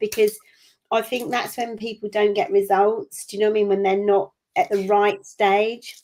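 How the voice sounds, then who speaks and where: A woman speaks in an ordinary speaking voice, fairly high in pitch. Her pace is moderate and her pitch variation ordinary. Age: 50s. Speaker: business owner and coach. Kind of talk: interview.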